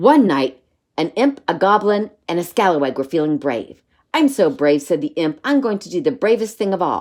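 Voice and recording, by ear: Against a quiet background, a person reads aloud in a natural voice.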